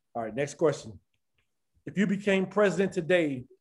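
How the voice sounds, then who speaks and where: A man with an American accent talks in a high pitch with ordinary pitch variation. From US West. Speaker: podcast host. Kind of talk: interview.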